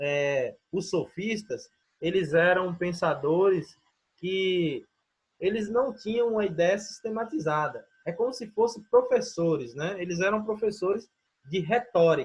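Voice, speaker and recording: A man's high voice moves at a fairly slow pace, its pitch varying in an ordinary way. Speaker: teacher. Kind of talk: online lecture.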